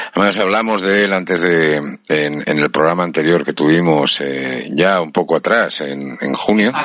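With a Madrid accent, a man talks at a fairly slow pace with hardly any pauses in a very deep, low voice with ordinary pitch variation, over noticeable background noise. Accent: Peninsular Spanish (Madrid). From Spain. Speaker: radio host. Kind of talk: interview.

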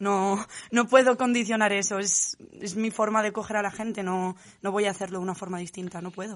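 Her pitch is medium, and her delivery is monotone and flat. The woman moves at a fairly quick pace. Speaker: photographer. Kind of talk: interview. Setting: studio.

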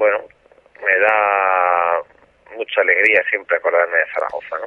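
At a fairly slow pace, a man talks with long, frequent pauses. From Aragon, Spain. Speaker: retired bullfighter and manager. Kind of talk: radio interview. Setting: phone call. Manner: halting. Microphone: some return echo on the line.

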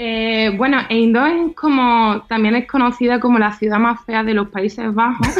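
A woman's fairly high voice, fairly slow with fairly even intonation, very even loudness and hardly any pauses, over noticeable background noise. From Andalusia, Seville province. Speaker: advertising professional living abroad. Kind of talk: radio interview.

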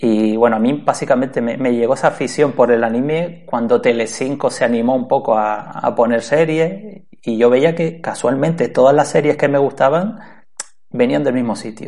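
A man talks at a moderate pace with ordinary pitch variation. His voice sits at medium pitch with a dark, mellow tone. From Canary Islands, Spain. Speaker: podcaster. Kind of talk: interview.

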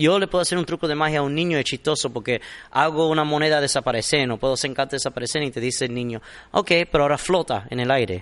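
Against a quiet background, a man talks at a very fast pace in a fairly high pitch. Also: ordinary pitch variation. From Miami, US, Cuban-American family. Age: young. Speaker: magician. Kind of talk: interview. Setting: theater studio. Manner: relaxed.

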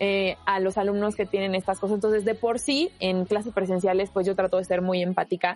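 A woman's slightly mellow voice at a medium pitch, fairly quick in pace, with little pitch movement.

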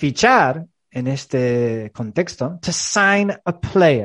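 Against a quiet background, a man with a medium pitch speaks at a very slow pace with very wide pitch swings. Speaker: English teacher and podcast host. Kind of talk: bilingual language-teaching chat. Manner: animated.

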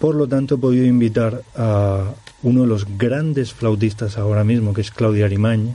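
There is noticeable background noise as a man speaks at a fairly slow pace. His pitch is medium and his intonation fairly even. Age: 40s. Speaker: musician. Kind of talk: radio interview.

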